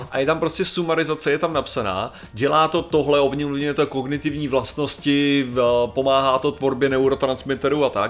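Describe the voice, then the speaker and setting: A man with a fairly high pitch talks at a moderate pace, with fairly even intonation and very even loudness. Noticeable background noise runs underneath. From Czechia. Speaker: podcast co-host. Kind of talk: casual chat.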